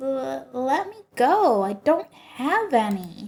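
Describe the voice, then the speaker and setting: In a put-on character voice, this woman talks at a very slow pace, pitched high and swinging very widely in pitch. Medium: game stream.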